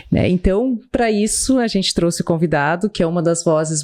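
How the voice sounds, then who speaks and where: A woman with a Brazilian accent speaks at a fairly slow pace in a medium pitch. Her pitch variation is ordinary, and noticeable background noise can be heard. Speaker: podcast host. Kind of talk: podcast introduction.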